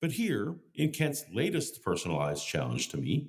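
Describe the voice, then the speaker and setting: A man is speaking. His pace is moderate. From Canada. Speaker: YouTube commentator and debater. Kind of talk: scripted narration.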